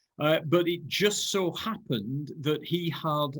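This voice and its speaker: The speaker is a man with a fairly high pitch. His recording is very clean, with a silent background. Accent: Lancashire. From northern England, Burnley, Lancashire. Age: 60s. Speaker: ecology professor. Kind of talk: lecture. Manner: halting.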